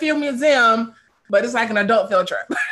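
A woman with an American accent speaks at a moderate pace in a fairly high pitch with ordinary pitch variation, a normal speaking voice. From Chicago. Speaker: craft beer advocate and influencer. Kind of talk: casual chat.

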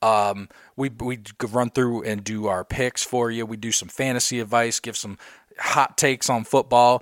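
A man with a medium-pitched voice talks at a moderate pace. The recording is very clean with a silent background and a dry, close sound with no echo. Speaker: sports podcast co-host. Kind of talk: casual chat. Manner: loud; animated.

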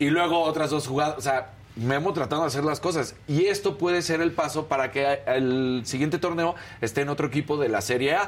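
This man's pitch is fairly high, and his loudness stays very even at a fairly quick pace. Noticeable background noise is present. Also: ordinary pitch variation. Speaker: co-host. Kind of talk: casual chat.

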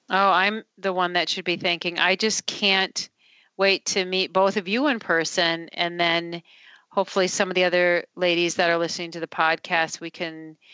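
A woman speaks at a moderate pace with an Upper Midwest accent, her fairly low voice delivered in a monotone with flat intonation. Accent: Upper Midwest American. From Minnesota, Duluth. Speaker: company CEO. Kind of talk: interview.

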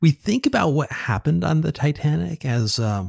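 A man's somewhat breathy voice at a moderate pace. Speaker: author and futurist. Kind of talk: casual interview. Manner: halting, filler-heavy.

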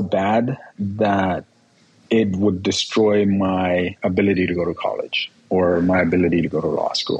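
The man's pitch is fairly low and his intonation fairly even. He speaks at a fairly slow pace. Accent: Spanish. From Guerrero, Mexico; raised in Escondido, California from age six. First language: Spanish. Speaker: personal injury lawyer. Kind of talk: interview testimony. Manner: halting, repeats words.

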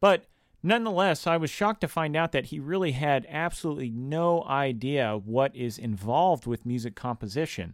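A man with a normal speaking voice, fairly high in pitch with lively intonation, at a moderate pace, in a very clean recording with a silent background and a dry, close sound with no echo. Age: 20s. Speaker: podcast host, composer. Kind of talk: solo podcast monologue, teaching. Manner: casual, with frequent fillers.

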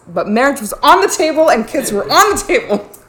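This woman talks with noticeable noise in the background. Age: 40s. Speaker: podcast host. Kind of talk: casual chat.

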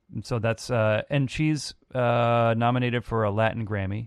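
A man talks in an ordinary speaking voice at a medium pitch and moderate pace, with fairly even intonation. The sound is dry and close with no echo, over a quiet background. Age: 40s. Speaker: musician and producer. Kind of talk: casual chat.

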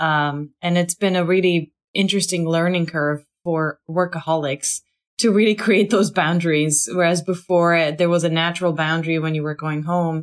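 A woman with a plain, everyday voice talks at a moderate pace in an American accent. Her intonation stays fairly even. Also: fairly low pitch for a woman. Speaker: podcast host. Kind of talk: casual interview conversation.

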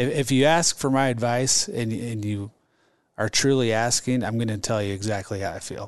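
The speaker has a Midwestern American accent. The background is quiet. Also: man, medium pitch for a man, ordinary pitch variation, moderate pace. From Omaha, Nebraska, US Midwest. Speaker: entrepreneur and franchise owner. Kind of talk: casual interview.

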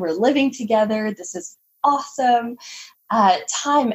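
Very slow, somewhat breathy speech from a woman with a Canadian accent and ordinary pitch variation. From Canada. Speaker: holistic nutritionist. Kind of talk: interview conversation.

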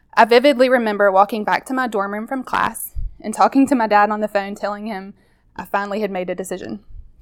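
Talking very fast, a woman speaks with a Southern US accent. Her pitch is fairly high and her intonation fairly even. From Mississippi, US South. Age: 30s. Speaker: nurse. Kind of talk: personal testimony narration.

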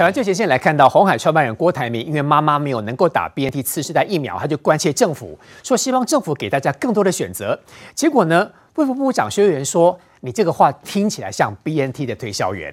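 A man with a fairly high pitch and vocal fry talks at a very fast pace, with very wide pitch swings and big swings in loudness. The recording is very clean, with a silent background. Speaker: TV political talk show host. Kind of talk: TV panel discussion.

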